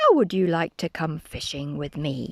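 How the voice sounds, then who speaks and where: A woman's put-on character voice, fairly low in pitch, at a moderate pace in a very clean recording with a silent background. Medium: read story. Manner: friendly, patient.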